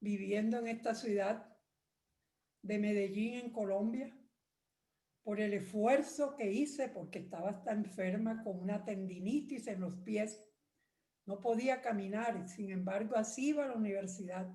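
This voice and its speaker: Somewhat breathy and dark, mellow in tone, the voice moves at a fairly slow pace with ordinary pitch variation. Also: woman, fairly high pitch for a woman. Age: 80s+. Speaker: retired lawyer, church member. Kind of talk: testimony.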